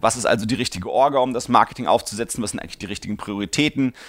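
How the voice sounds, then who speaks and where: A man talks at a medium pitch with ordinary pitch variation, recorded very cleanly with a silent background. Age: 40s. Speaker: podcast host answering listener questions. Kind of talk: Q&A podcast monologue. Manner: many fillers and hesitations.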